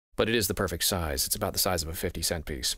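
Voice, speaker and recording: The voice carries vocal fry. The sound is dry with no echo, and the background is quiet. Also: man. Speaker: voice actor. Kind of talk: casual talk to camera. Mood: calm, slightly mysterious. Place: studio.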